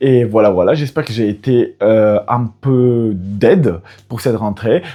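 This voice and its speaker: A man with a French accent. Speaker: YouTuber giving study advice. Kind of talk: casual vlog advice. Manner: animated. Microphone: new microphone.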